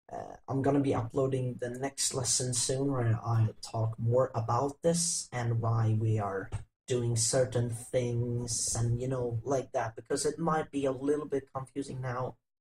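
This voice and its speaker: Somewhat breathy voice at a fairly slow pace, with fairly even intonation. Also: man. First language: not English. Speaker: coding tutorial youtuber. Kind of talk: tutorial. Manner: halting.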